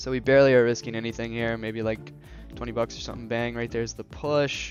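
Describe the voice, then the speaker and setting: A man is speaking. Music plays in the background. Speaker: day trader. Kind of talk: live trading commentary. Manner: casual.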